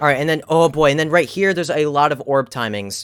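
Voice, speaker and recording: The recording is very clean, with a silent background. A man with a fairly high voice talks at a very fast pace in an animated tone. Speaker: gaming YouTuber. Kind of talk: gameplay commentary. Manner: stuttering, halting.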